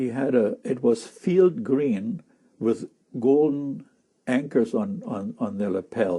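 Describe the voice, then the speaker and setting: A man speaks very slowly in a German accent with a dark, mellow tone. His medium-pitched voice makes very wide pitch swings. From Germany, Berlin. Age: 70s. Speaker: war-era eyewitness. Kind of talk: oral history interview. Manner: halting.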